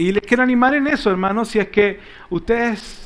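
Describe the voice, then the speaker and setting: A man speaks with ordinary pitch variation. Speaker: Bible class teacher. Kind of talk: Bible class teaching. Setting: church classroom with live audience. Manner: animated. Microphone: microphone switched off, audio problems at start.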